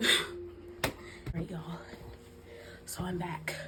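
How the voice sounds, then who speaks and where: A soft-spoken woman talks at a very slow pace, with audible room echo and noticeable background noise. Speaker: YouTuber, lifestyle vlogger. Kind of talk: story time vlog, casual chat. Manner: soft-spoken, quiet for the baby; rambling, halting with fillers.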